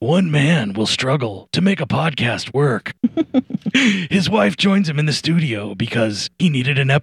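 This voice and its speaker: A man puts on a character voice. His pitch is fairly high and his pace moderate. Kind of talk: dramatic trailer narration.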